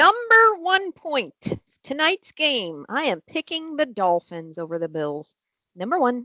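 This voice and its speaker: A woman projects a raised voice at a high pitch with a bright, sharp tone and very wide pitch swings. The sound is dry and close, with no echo. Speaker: webcast co-host. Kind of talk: casual chat. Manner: fast.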